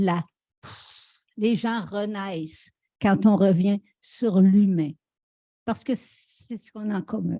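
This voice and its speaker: Very slowly and with long, frequent pauses, a woman speaks in a dark, mellow tone at a medium pitch, her intonation fairly even and her loudness swinging widely, in a dry, close sound with no echo. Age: 70s. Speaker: panelist. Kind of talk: panel discussion.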